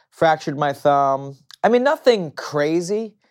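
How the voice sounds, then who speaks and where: In a very clean recording against a silent background, the words come rather slowly. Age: 30s. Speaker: retired MMA fighter. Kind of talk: casual interview. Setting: studio.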